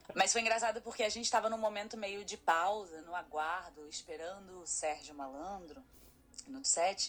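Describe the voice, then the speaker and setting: A woman speaks at a medium pitch and a moderate pace in an ordinary speaking voice. Her loudness swings widely while her pitch varies in an ordinary way. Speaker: photographer and master's student. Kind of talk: casual chat.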